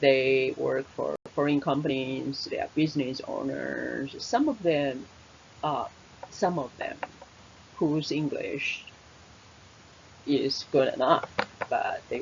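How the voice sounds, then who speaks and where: Someone with a Taiwanese accent speaks at a very slow pace, leaving long, frequent pauses, over noticeable background noise. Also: woman. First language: Mandarin Chinese. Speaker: English teacher. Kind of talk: webinar presentation. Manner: halting, many fillers.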